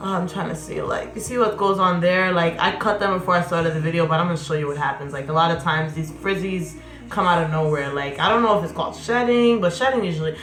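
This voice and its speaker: In a room with audible echo and noticeable background noise, a woman talks at a very fast pace in an animated tone with ordinary pitch variation. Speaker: hair vlogger. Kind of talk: tutorial.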